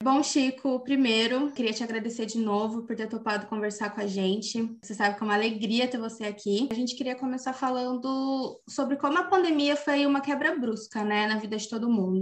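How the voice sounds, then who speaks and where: Pitch varies in an ordinary way as the speech moves along fairly quickly. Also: woman. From interior of São Paulo state, Brazil. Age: 20s. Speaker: podcast host, journalist. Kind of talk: scripted narration; casual interview.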